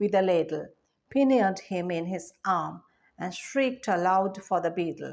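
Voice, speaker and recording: Moderate pace from a woman in an ordinary speaking voice, with ordinary pitch variation and a quiet background. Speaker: teacher. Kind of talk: expressive story narration.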